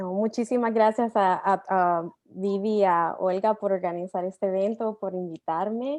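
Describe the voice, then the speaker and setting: A woman with a Latin American accent and medium pitch talks at a fairly slow pace with hardly any pauses and fairly even intonation against a quiet background. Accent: non-Argentine Latin American Spanish. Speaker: tech company employee, immigrant speaker. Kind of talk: panel talk.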